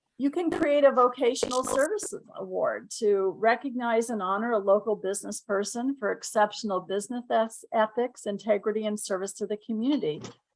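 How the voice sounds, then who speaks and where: With ordinary pitch variation, a normal speaking voice moves at a fairly quick pace with hardly any pauses. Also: woman, fairly high pitch for a woman. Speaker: Rotary membership presenter. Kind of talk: presentation in online meeting.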